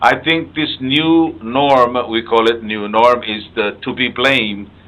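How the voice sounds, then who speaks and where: A man in a Palauan accent, medium-pitched, at a fairly slow pace. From Palau (Ngermid village, Koror). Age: 70s. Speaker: radio host. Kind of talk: health interview. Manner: halting.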